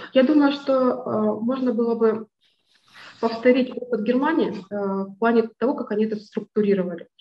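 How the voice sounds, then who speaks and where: A woman's voice sits at a fairly high pitch, broken by long, frequent pauses. Room echo can be heard. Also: fairly even intonation, moderate pace. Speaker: lawyer. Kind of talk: presentation. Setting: video call. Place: office. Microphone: video call.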